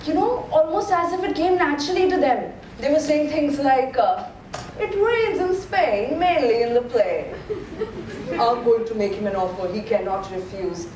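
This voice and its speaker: With noticeable background noise behind her, a woman speaks in a high pitch with very wide pitch swings. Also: moderate pace. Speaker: TEDx speaker. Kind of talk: TEDx talk. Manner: humorous, conversational.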